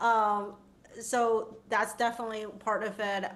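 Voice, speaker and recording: In a non-native accent, a woman speaks at a very slow pace amid audible room echo. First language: not English. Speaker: designer and futurist. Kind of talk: panel discussion.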